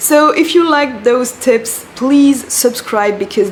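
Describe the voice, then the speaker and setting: With a French accent, a woman talks at a fairly slow pace with ordinary pitch variation over noticeable background noise. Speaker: career coach, former recruiter. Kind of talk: vlog-style advice talk. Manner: animated.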